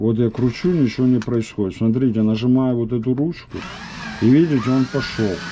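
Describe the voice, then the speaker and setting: Moderate pace from a man with ordinary pitch variation and light background noise. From former Soviet Union. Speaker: vlogger; home DIY vlogger. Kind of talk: casual tutorial vlog; tutorial. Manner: casual, filler-heavy. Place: kitchen. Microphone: phone near.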